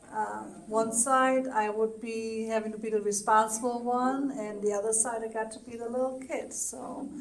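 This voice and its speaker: Audible room echo surrounds a woman's fairly high voice. Her intonation stays monotone and flat. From Germany, Nuremberg. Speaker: senior center board director. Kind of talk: interview. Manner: halting.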